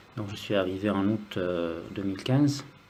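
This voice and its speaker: In audible room echo, a man with a fairly low pitch and ordinary pitch variation speaks at a very slow pace. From Lebanon, Beirut. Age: 40s. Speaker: music student. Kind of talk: interview. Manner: hesitant.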